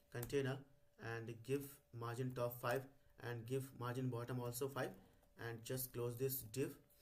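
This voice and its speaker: Somewhat breathy and monotone, a man talks at a medium pitch and a moderate pace. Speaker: coding tutorial YouTuber. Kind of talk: tutorial. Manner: hesitant with many fillers.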